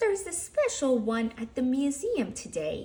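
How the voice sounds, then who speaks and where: A woman's put-on character voice, high in pitch, at a moderate pace. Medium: read story.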